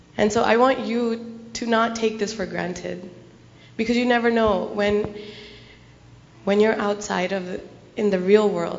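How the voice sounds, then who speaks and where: A woman with a fairly high voice speaks at a fairly slow pace in a monotone, flat way, with long, frequent pauses, audible room echo, and noticeable background noise. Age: young. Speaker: speaker sharing personal story at gurdwara. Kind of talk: testimony. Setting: gurdwara gathering with audience.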